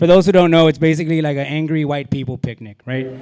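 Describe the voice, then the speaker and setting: This man talks at a very fast pace with an American accent. His pitch is fairly high. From Laredo, Texas (US–Mexico border). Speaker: comedian. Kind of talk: stand-up. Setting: stage with audience. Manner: animated.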